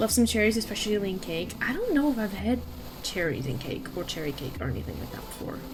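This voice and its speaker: A woman talks at a very fast pace. Audible room echo and noticeable background noise surround her voice. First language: Dutch. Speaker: streamer. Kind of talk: casual gaming stream chat. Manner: animated.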